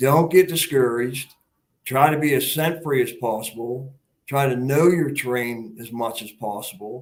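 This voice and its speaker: With an ordinary speaking voice, a man talks at a moderate pace in a medium pitch with ordinary pitch variation. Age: 60s. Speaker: hunter. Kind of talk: casual interview chat.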